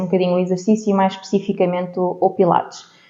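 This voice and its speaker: At a fairly quick pace, a woman talks at a medium pitch in a plain, everyday voice. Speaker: podcast host. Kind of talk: interview podcast.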